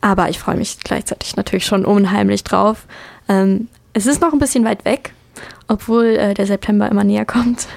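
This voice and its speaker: Moderate pace and ordinary pitch variation, with a dry, close sound free of echo and noticeable background noise. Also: woman, medium pitch for a woman. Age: 20s. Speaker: university student. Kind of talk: interview.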